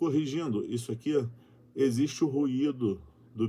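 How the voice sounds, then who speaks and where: A man speaks with a dark, mellow tone. His pace is fairly slow, and his pitch varies in an ordinary way. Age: 40s. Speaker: YouTuber. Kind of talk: reading aloud with commentary.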